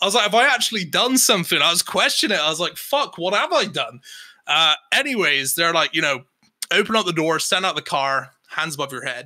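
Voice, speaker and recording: Talking at a fairly quick pace, a high-pitched man with an English accent makes very wide pitch swings. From England. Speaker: podcast co-host. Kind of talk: casual chat.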